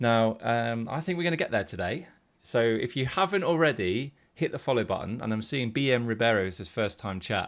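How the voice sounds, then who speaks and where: A man with a British accent speaks at a fairly quick pace. His intonation is lively, and the background is quiet. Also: medium pitch for a man. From UK. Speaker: poker coach. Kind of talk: live stream poker tutorial. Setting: live stream.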